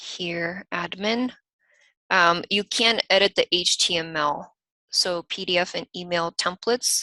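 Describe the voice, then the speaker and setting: A woman speaks at a medium pitch with a slight Eastern European accent and a bright, sharp tone. The sound is dry and close, with no echo. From US, raised by Ukrainian/Russian parents. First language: Russian or Ukrainian, bilingual from childhood. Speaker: software company team member co-hosting a webinar. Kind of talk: live webinar Q&A and screen-share tutorial.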